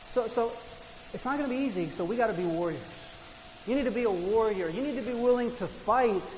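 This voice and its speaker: Amid noticeable background noise and audible room echo, a man with an extremely high pitch talks very fast but leaves long, frequent pauses. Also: ordinary pitch variation. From Argentina. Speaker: pastor. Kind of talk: sermon.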